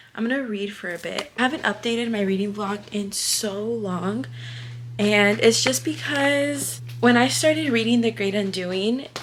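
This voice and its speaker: A woman at medium pitch with very wide pitch swings, at a moderate pace against noticeable background noise. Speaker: vlogger. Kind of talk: casual vlog. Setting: at home, getting ready for work.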